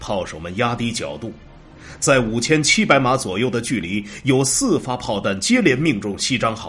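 A man's normal speaking voice at medium pitch, delivered at a fairly slow pace. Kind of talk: scripted narration of war history, audiobook-style. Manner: steady, measured and formal, with a grave documentary gravity.

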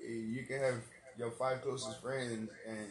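A man with medium pitch speaks in a monotone, flat way. Audible room echo and noticeable background noise are present. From East Side of San Antonio, Texas. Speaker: rapper. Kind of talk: casual chat.

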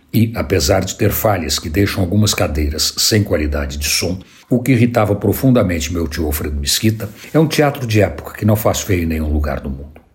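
Lively in intonation, a man with a very deep, low pitch speaks at a fairly quick pace amid noticeable background noise. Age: old. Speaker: radio columnist. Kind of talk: scripted narration.

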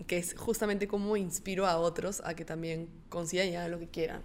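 At a moderate pace, a woman speaks in an unremarkable speaking voice with ordinary pitch variation. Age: 20s. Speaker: entrepreneur, clothing brand founder. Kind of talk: casual interview.

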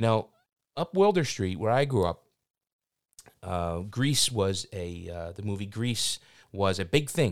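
A man with a Philadelphia accent speaks fairly slowly in a fairly low voice, with lively intonation. He takes long, frequent pauses, and the recording is very clean with a silent background. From South Philadelphia, US. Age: 50s. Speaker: podcast host and filmmaker. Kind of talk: casual interview. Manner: halting, many fillers.

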